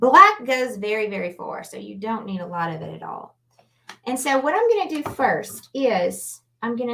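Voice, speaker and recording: Here a woman speaks with a Louisiana accent. Her pitch is fairly high. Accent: Southern US (Louisiana). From Louisiana, New Orleans. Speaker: artist and painting instructor. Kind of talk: live painting tutorial. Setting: livestream. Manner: casual, chatty.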